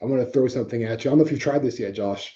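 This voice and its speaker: A man's dark, mellow voice with ordinary pitch variation. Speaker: mortgage podcast host. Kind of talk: casual interview.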